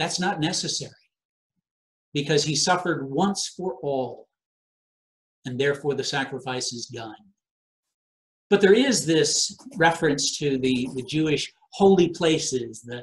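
A man talks in a somewhat breathy voice with ordinary pitch variation and long, frequent pauses. The background is quiet. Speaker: preacher. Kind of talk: sermon. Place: home room.

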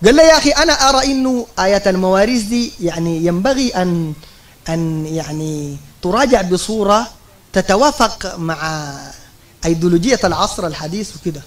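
With lively intonation, a man delivers his words at a fairly slow pace. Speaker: religious lecturer. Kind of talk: sermon. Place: hall. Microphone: podium.

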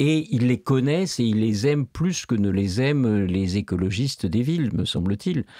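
Over a quiet background, a man with a dark, mellow tone and lively intonation speaks at a fairly slow pace, his loudness very even and the sound dry with no echo. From France. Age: old. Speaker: philosophy professor. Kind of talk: interview. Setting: studio. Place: studio. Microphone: studio mic.

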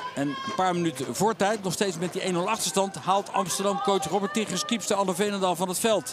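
A man's high-pitched voice at a fairly quick pace, with hardly any pauses, ordinary pitch variation and noticeable background noise. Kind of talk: hockey highlights voice-over commentary. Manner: brisk, even and matter-of-fact, with clipped play-by-play delivery; informative and neutral, listing names and facts in a steady rhythm.

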